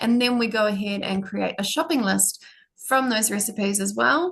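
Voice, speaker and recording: Over a quiet background, a woman with a New Zealand accent speaks fairly quickly in a fairly high, somewhat breathy voice. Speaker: product demonstrator. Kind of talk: product demo. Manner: fast.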